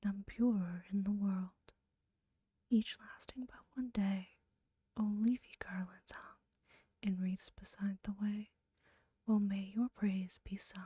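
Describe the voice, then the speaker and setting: A soft-spoken voice whispers at a very slow pace. Long pauses come often. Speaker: ASMR creator. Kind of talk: poetry reading. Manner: whispered, soft-spoken.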